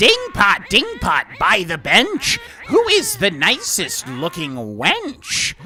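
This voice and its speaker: A put-on character voice speaks at a very slow pace with clear music in the background. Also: man, high pitch for a man. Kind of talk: rhyming sing-song.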